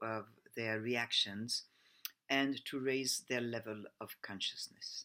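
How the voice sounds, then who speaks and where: Spoken at a fairly slow pace with a French accent, the clip is a very clean recording with a silent background. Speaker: personal development coach. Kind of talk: presentation. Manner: halting.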